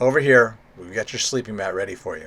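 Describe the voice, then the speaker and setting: A man puts on a raspy character voice at medium pitch, talking fairly quickly with big swings in loudness. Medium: solo performance. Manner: blunt.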